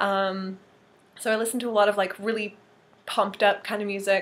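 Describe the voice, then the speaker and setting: In a Canadian accent, a woman speaks at a medium pitch. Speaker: model and vlogger. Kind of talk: casual vlog. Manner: filler-heavy, um and like.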